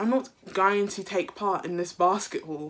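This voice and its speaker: A woman with a British accent speaks at medium pitch and a moderate pace, with ordinary pitch variation. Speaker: YouTuber. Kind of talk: storytime vlog.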